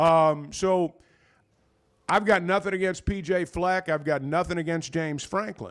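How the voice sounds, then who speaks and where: A high-pitched man with an Arkansas accent, fairly even intonation and a moderate pace, on a very clean recording with a silent background. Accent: US Southern (Arkansas). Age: 60s. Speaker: sports radio host. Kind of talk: casual sports talk.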